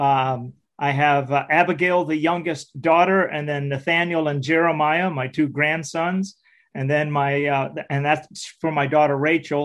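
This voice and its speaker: A normal speaking voice comes through with fairly even intonation. The pace is fairly slow, and the background is quiet. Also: man, fairly high pitch for a man. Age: 60s. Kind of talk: interview testimony.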